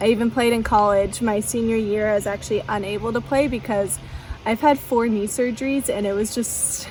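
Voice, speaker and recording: Fairly quick delivery with fairly even intonation over noticeable background noise. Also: woman, fairly high pitch for a woman. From US Pacific Northwest, near Portland, Oregon. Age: 20s. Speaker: lifestyle vlogger. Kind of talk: casual chat. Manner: casual, filler-heavy.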